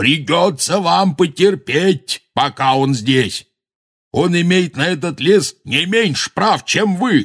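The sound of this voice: A man's put-on character voice, fairly high in pitch and fairly bright in tone with a slightly husky edge, slow and lively in intonation, on a very clean recording with a silent background.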